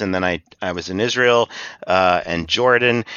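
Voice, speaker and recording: A man with a West Coast American accent at a fairly slow pace. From Hawaii. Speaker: cannabis advocacy nonprofit director. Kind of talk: interview.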